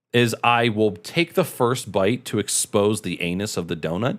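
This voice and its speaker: Over a very clean recording with a silent background, a man with an American accent speaks at medium pitch and a moderate pace in an animated tone. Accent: Michigan accent, others notice it. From Michigan, US Midwest. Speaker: streamer. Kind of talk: casual live stream chat.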